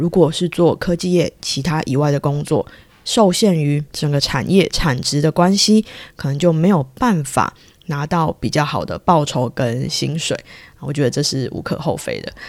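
On a very clean recording with a silent background, a woman speaks with a very deep, low pitch and ordinary pitch variation at a moderate pace. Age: 30s. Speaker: podcast host. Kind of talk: solo podcast monologue. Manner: conversational with many fillers.

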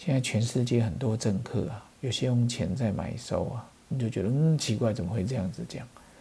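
A man speaks at a moderate pace with hardly any pauses, at a medium pitch with ordinary variation. His tone is dark and mellow and somewhat breathy. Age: 40s. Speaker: pharmacist podcast host. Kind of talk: casual poetry commentary. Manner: animated.

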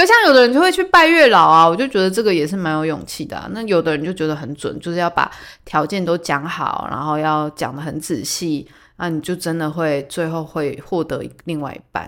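In a very clean recording with a silent background, a woman with a plain, everyday voice speaks at a fairly low pitch and a fairly quick pace, with ordinary pitch variation. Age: 30s. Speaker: podcast host. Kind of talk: casual solo talk.

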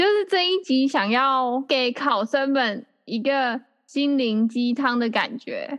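With lively intonation, a woman speaks at a very slow pace in a high voice. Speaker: podcast host. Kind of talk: casual chat.

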